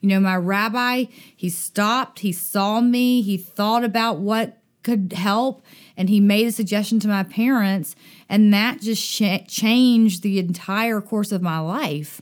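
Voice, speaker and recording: On a very clean recording with a silent background, a woman with a Southern US accent speaks in an animated tone at a medium pitch with ordinary pitch variation. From US South, Dothan, Alabama. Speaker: summer camp director. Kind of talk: interview conversation. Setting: recording at a synagogue.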